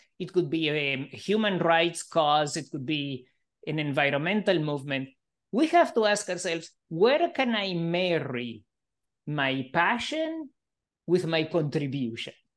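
The speech moves at a fairly slow pace with ordinary pitch variation over a quiet background. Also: man, high pitch for a man. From Argentina. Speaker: professor and psychologist. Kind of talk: interview conversation.

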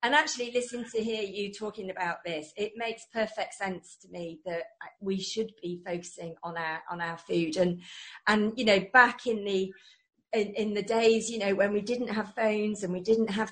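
Speaking in an English accent, a woman uses a medium pitch and fairly even intonation, her voice somewhat breathy. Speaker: radio host. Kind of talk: interview. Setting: radio studio with video link.

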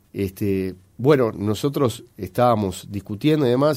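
A man's fairly low-pitched voice with a dark, mellow tone on a very clean recording with a silent background. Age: 40s. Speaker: politician. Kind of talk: radio interview. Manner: halting, frequent fillers.

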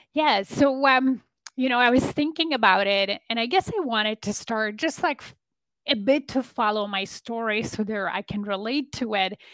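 In a Polish accent, a woman talks at a moderate pace with a fairly high pitch. The sound is dry and close, with no echo. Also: ordinary pitch variation. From Poland. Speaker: business and leadership coach. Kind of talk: interview conversation. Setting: remote call.

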